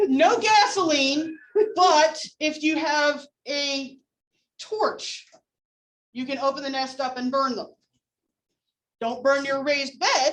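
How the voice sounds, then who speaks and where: Loud and high-pitched, a woman speaks at a very slow pace. She takes long, frequent pauses, and her pitch varies in an ordinary way. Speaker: entomology instructor. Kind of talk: lecture.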